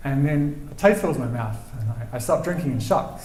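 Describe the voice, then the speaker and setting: Soft-spoken and medium-pitched, a man with a New Zealand accent talks with ordinary pitch variation over noticeable background noise and audible room echo. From New Zealand, Christchurch. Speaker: storyteller, rock climber. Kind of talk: live storytelling. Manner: halting, repeats words.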